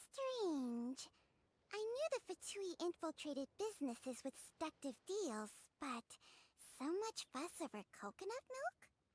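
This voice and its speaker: This female-sounding voice is a put-on character voice with extremely high pitch and very wide swings. Long, frequent pauses run through it. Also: moderate pace. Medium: machinima. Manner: disdainful, formal.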